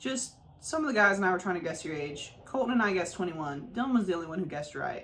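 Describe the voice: Lively intonation in plain reading aloud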